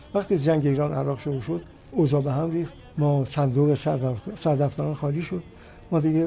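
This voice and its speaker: Over music in the background, a man talks at a very fast pace with long, frequent pauses, his fairly high pitch showing ordinary variation. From Iran, Kashan. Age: 90s. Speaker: singer and composer. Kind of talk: interview.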